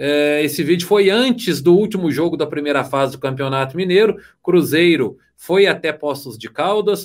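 A plain, everyday voice from a man, fairly high in pitch, with lively intonation, a moderate pace and hardly any pauses. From Brazil, southern Minas Gerais (Varginha). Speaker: sports journalist and live show host. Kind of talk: casual chat.

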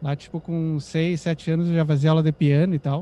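A man with a dark, mellow tone and a high pitch speaks at a moderate pace. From Brazil, Rio Grande do Sul, Santana do Livramento (Uruguay border). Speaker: psytrance music producer and DJ. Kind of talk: casual interview chat.

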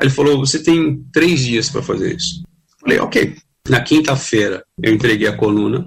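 The man's voice is somewhat breathy, with ordinary pitch variation and a moderate pace. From Brazil, Santos (São Paulo coast). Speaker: music critic and journalist. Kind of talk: pre-recorded segment talk.

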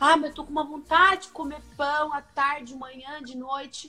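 Over music in the background, a woman with a high pitch uses a raised, projected voice at a moderate pace. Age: 30s. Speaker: nutritionist. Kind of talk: casual chat.

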